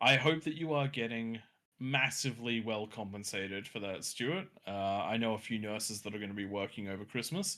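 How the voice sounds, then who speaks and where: In a very clean recording with a silent background, a man speaks at a fairly quick pace with a bright, sharp tone and ordinary pitch variation. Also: medium pitch for a man. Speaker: gaming stream co-host. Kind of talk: casual chat. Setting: Discord voice call. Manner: talkative.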